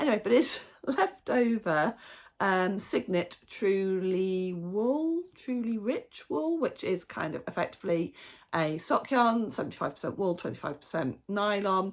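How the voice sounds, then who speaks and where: The pace is fairly slow and the pitch swings very widely. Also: woman, medium pitch for a woman. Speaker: knitting podcaster. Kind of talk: casual podcast chat. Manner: chatty, with frequent fillers.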